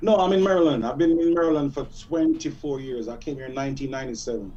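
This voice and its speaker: A man at a very fast pace and fairly high pitch, with ordinary pitch variation, big swings in loudness and audible room echo. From Jamaica. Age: 40s. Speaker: music artist. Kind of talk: radio interview.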